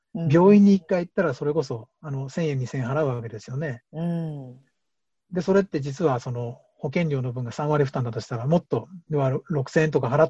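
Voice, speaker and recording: Dry, close sound with no echo, carrying a man's fairly high, somewhat breathy voice with a dark, mellow tone. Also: ordinary pitch variation, fairly quick pace. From Japan, Hamamatsu, Shizuoka. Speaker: organic farmer. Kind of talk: interview.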